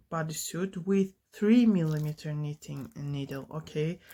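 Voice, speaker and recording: Her pitch shows ordinary variation as she talks at a moderate pace. This woman's recording is very clean, and the background is silent. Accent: non-native. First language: not English. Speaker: knitting tutorial creator. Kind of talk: tutorial. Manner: halting, many fillers.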